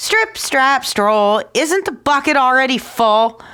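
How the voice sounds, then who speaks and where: A woman's put-on character voice, high-pitched and shrill, with very wide pitch swings at a fairly slow pace. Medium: read story. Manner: cheeky, teasing.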